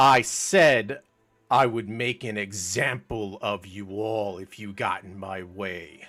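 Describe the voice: A put-on character voice with a menacing tone at a fairly slow pace, in a very clean recording with a silent background. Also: man, fairly low pitch for a man.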